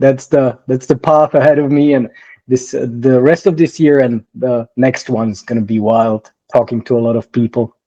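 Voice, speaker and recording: A man with a non-native accent talks at a moderate pace in a dark, mellow tone with ordinary pitch variation, the sound dry and close with no echo. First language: not English. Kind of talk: interview. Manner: halting.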